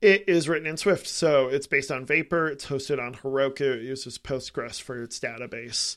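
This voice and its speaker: In a very clean recording with a silent background, a man with an American accent and an ordinary speaking voice talks at a fairly quick pace and a fairly high pitch, with ordinary pitch variation, big swings in loudness and hardly any pauses. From Lansing, Michigan, US. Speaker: app developer. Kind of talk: casual chat.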